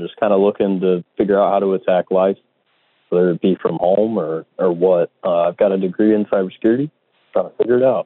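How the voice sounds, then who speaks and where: Very fast and with big swings in loudness, a man speaks. He has an American accent. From US Midwest, Indianapolis. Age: 20s. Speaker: caller. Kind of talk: call-in question. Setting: phone call.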